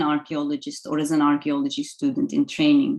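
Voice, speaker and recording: A woman with a Turkish accent has a dark, mellow tone and very wide pitch swings. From Turkey. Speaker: archaeology lecturer. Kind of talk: lecture. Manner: hesitant, many fillers.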